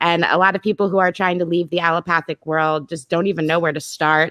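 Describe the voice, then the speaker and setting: A woman speaks in an unremarkable speaking voice at a fairly low pitch. The sound is dry and close with no echo, over a quiet background. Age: 30s. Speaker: live stream host. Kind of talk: casual chat.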